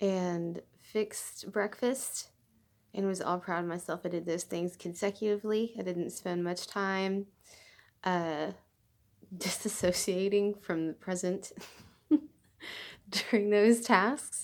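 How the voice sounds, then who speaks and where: In a very clean recording with a silent background, a woman speaks at a very slow pace and medium pitch, with fairly even intonation and long, frequent pauses. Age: adult. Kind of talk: casual talk to camera. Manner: hesitant, halting, with stutters and unfinished sentences.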